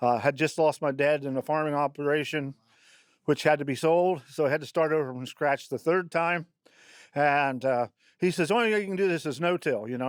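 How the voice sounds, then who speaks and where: Recorded very cleanly against a silent background, with a dry, close sound and no echo, a man with a Midwestern US accent speaks at a fairly quick pace and fairly high pitch, his pitch varying in an ordinary way. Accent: rural Midwestern US. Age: 70s. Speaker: farmer. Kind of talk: interview. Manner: halting, many fillers.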